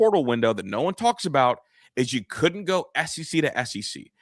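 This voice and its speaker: The recording is very clean, with a silent background. A man speaks in an animated tone with lively intonation. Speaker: sports podcast host. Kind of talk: casual sports talk. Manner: fast.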